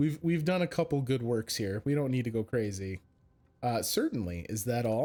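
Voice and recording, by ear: Lively intonation shapes this natural-voiced reading aloud.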